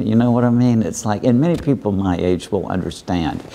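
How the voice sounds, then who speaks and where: A man's voice with noticeable background noise. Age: 70s. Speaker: philosopher and author. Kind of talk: interview. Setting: festival studio.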